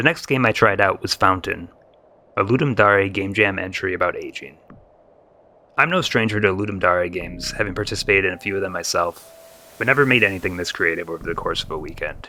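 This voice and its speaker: Over noticeable background noise, a man talks very fast at a fairly low pitch with ordinary pitch variation. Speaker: gaming YouTuber. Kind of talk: video game review voiceover.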